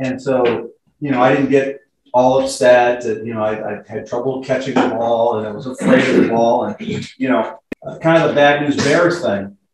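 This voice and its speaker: The man's pitch is medium, his pace moderate, and his pitch varies in an ordinary way. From Southern California (Riverside, San Bernardino). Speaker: Navy reservist and club member. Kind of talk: club talk about own life. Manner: halting, many fillers and repeats.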